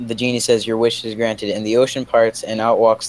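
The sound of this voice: The clip has an unforced reading voice. Its intonation is fairly even.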